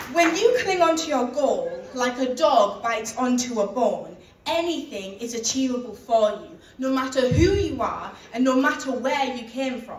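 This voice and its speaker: A woman with a Teesside accent speaks at a high pitch and moderate pace, with ordinary pitch variation and big swings in loudness. Audible room echo and noticeable background noise surround her voice. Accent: northern English, Teesside. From northern England. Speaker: keynote speaker. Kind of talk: motivational speech.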